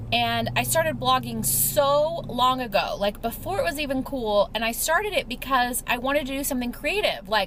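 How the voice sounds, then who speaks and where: An animated woman at a moderate pace, with noticeable background noise. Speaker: lifestyle vlogger. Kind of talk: casual chat. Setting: in a car. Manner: chatty, animated.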